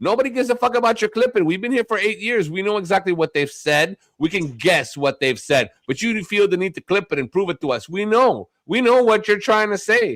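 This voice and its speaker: In an angry tone, a man speaks at a high pitch and a fairly quick pace with hardly any pauses, the sound dry and close with no echo. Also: lively intonation. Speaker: live streamer. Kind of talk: heated argument on a stream; casual chat. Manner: angry and loud.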